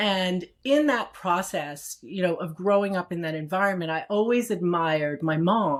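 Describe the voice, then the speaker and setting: At a fairly slow pace, a woman speaks in a normal speaking voice, fairly low in pitch with ordinary pitch variation. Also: very clean recording, silent background. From Brooklyn, New York, US. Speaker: executive and strategist. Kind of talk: interview.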